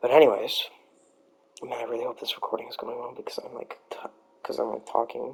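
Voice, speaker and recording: Someone mumbles at a very fast pace, with long, frequent pauses. Noticeable background noise runs underneath. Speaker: amateur fan-fiction storyteller. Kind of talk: improvised storytelling. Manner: mumbling; halting. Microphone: USB mic not working right, poor sound; poor sound quality.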